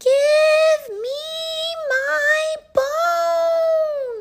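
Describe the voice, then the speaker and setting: This put-on character voice is squeaky and pitched extremely high. It comes across loud. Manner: louder, demanding.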